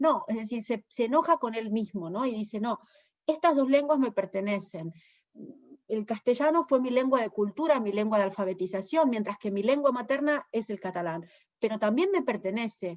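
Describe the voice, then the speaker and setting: A woman at a fairly high pitch and a moderate pace. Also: lively intonation. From Argentina. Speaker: poet and translator. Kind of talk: interview. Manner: hesitant, many fillers.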